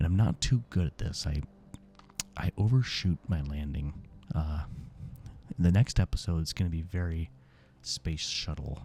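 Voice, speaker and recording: Music sits in the background while a man speaks at a very deep, low pitch. He is soft-spoken, with a calm tone and a moderate pace. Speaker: gaming ASMR creator. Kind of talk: soft-spoken gaming commentary. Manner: calm, soft-spoken.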